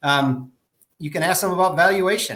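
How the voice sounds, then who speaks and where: A man talks with ordinary pitch variation. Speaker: moving industry association director. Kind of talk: panel discussion on a live show. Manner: fast.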